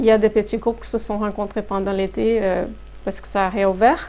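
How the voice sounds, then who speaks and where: The speaker is a woman. She talks with a Brazilian accent. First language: Portuguese (speaking French). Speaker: human resources consultant. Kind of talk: interview. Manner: hesitant, many fillers.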